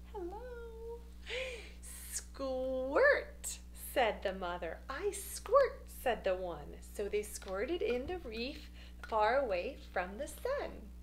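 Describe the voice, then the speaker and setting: Light background noise sits behind a woman speaking at a very slow pace. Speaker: children's storyteller. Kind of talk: children's story reading. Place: home room. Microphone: phone near.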